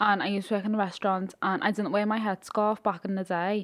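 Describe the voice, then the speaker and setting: A woman with a Liverpool accent talks at a fairly quick pace, her medium-pitched voice keeping a fairly even intonation. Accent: Scouse. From Liverpool, England. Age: 20s. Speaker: influencer. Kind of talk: casual chat.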